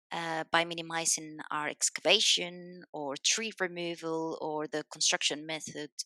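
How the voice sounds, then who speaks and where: A woman with a Spanish accent, a bright, sharp tone and a fairly low pitch, speaking at a fairly slow pace with fairly even intonation in a dry, close sound with no echo. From Spain. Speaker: civil engineer. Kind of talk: podcast interview.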